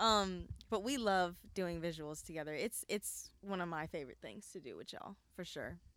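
A woman with an unremarkable speaking voice and an American accent, fairly low in pitch, with ordinary pitch variation, a moderate pace and big swings in loudness. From California. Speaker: singer and dancer. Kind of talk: casual interview.

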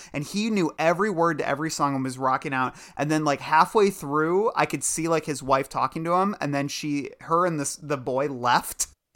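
A man with a fairly high pitch talks at a moderate pace in an animated tone, with ordinary pitch variation and hardly any pauses, on a very clean recording with a silent background. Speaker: podcast co-host. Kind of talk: casual chat.

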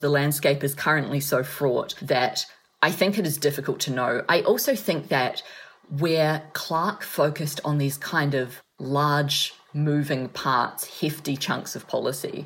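In a very clean recording with a silent background, a woman with a New Zealand accent speaks at a fairly slow pace in a very deep, low, somewhat breathy voice. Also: ordinary pitch variation. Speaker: freelance correspondent and author. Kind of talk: interview.

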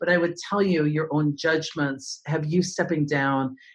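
A woman speaks in a somewhat breathy voice at a fairly low pitch. Her pitch varies in an ordinary way. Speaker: podcast guest, stage speaker. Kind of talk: motivational, conversational. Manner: fast talker.

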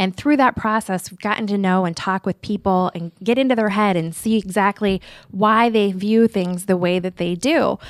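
With an American accent, a woman with an unremarkable speaking voice speaks at a moderate pace and medium pitch, with ordinary pitch variation, in a dry, close sound with no echo and a very clean recording with a silent background. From Nebraska, Omaha. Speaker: lawyer and law firm owner. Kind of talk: interview.

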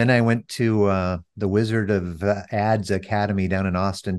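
Against a quiet background, a man with an American accent talks at a moderate pace in a plain, everyday voice. His pitch is fairly low, with ordinary pitch variation. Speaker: author and CEO, former radio DJ. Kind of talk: casual interview conversation. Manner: fluent, with frequent fillers.

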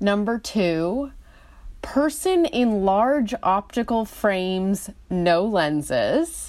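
With a Canadian accent, a woman at medium pitch speaks at a very slow pace with very wide pitch swings on a very clean recording with a silent background. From Canada. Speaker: listener leaving voice memo. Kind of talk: voice memo.

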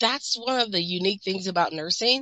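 A woman with an American accent and a normal speaking voice, at medium pitch, moderate pace and ordinary pitch variation. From US Midwest. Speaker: nurse practitioner. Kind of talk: interview.

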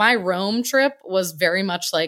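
A woman with an American accent uses a normal speaking voice at a medium pitch with lively intonation. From Connecticut, US. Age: 30s. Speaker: travel company director. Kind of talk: interview.

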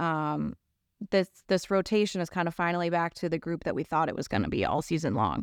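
In an American accent, a woman speaks at a fairly quick pace with an unremarkable speaking voice, the sound dry and close with no echo. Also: fairly low pitch for a woman, ordinary pitch variation, very clean recording, silent background. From Wisconsin, Milwaukee area. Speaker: baseball podcast host. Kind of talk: casual chat.

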